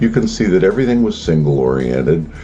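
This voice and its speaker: There is music in the background as a man speaks at a very deep, low pitch. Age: 70s. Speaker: retired record producer. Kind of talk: personal reminiscence monologue.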